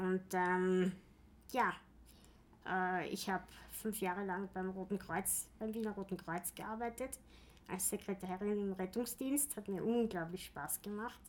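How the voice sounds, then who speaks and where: With fairly even intonation, a woman of medium pitch speaks at a fairly slow pace, leaving long, frequent pauses. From Austria, Vienna. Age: 40s. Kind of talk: interview. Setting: office.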